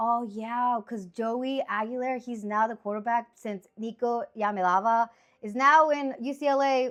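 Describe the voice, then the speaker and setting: Speaking with a Spanish accent, a woman uses a high pitch and ordinary pitch variation in an animated tone at a fairly slow pace. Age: 30s. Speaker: sports picks streamer. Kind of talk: casual monologue.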